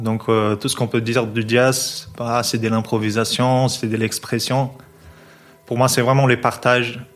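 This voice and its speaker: A man speaks with a Portuguese accent at a medium pitch. His delivery is fairly slow, in a monotone, flat intonation. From Brazil, São Paulo. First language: Portuguese (speaking French). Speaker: jazz double bassist. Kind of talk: casual interview. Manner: hesitant, many fillers and repetitions.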